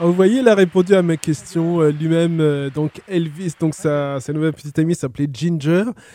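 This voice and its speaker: A man rattles along at a very fast pace with hardly any pauses, in a fairly high pitch. His pitch varies in an ordinary way, and noticeable background noise sits behind him. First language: French. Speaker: radio host. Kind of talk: radio music show presenting. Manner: hesitant with filler words.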